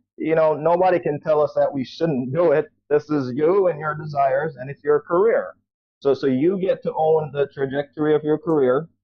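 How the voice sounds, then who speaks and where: Speaking at a moderate pace, a man uses an ordinary speaking voice with a fairly high pitch and fairly even intonation. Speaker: author and doctor, guest on business etiquette book. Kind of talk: radio interview answer.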